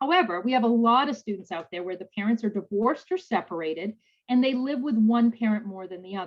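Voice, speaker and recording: Speech comes at a very fast pace with lively intonation and big swings in loudness. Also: woman, fairly high pitch for a woman. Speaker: financial aid presenter. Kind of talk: webinar presentation. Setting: video call.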